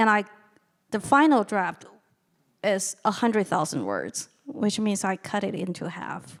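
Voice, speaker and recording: The voice has vocal fry, with long, frequent pauses. The recording is very clean, with a silent background. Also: woman, medium pitch for a woman, ordinary pitch variation, moderate pace. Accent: Chinese. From China. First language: Chinese. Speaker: novelist and lecturer. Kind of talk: audience Q&A answer.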